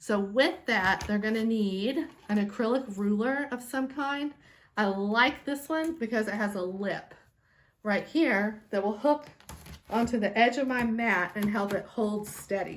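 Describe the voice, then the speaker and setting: Fairly slow delivery in a normal speaking voice, with ordinary pitch variation. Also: woman, fairly high pitch for a woman. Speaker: sewing teacher. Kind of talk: tutorial. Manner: casual, chatty.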